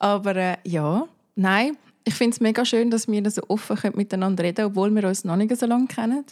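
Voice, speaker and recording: A woman with an unremarkable speaking voice talks fairly quickly at a medium pitch, with ordinary pitch variation and very even loudness. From Zurich, Switzerland (Seebach). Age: 20s. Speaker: podcast guest. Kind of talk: casual chat.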